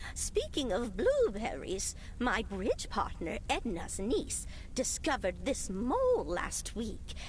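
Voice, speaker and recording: A put-on character voice is heard with clear background noise behind it. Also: woman, fairly slow pace. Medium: audio drama. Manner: rambling, off-topic.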